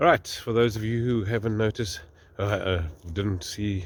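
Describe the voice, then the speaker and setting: Speaking at a moderate pace, a man with an Afrikaans South African accent sounds somewhat breathy. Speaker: farmer. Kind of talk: casual vlog narration. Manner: halting, many fillers.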